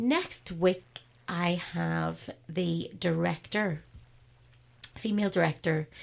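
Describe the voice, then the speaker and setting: The woman speaks at a very slow pace. Long, frequent pauses break up her words. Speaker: radio host. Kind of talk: casual chat. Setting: studio.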